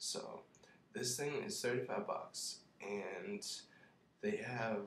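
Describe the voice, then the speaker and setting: At a very slow pace, a man mumbles his words. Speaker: college student. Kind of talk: casual product review to camera. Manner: mumbling.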